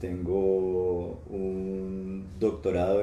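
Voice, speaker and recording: A man speaks with very deep, low pitch and a dark, mellow tone, somewhat breathy. Audible room echo surrounds his voice. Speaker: professor and researcher. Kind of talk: testimony in live church stream. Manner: halting.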